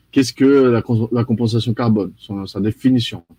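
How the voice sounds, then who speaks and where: A man with a slight Brazilian accent has a dark, mellow tone. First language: Portuguese (speaking French). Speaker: carbon offset expert. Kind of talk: live presentation. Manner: mumbles words.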